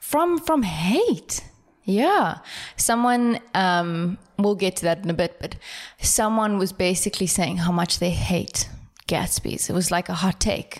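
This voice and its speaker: In a very clean recording with a silent background, a woman with a normal speaking voice talks fairly slowly at a medium pitch, with ordinary pitch variation and very even loudness. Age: 20s. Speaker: podcast co-host. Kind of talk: casual chat.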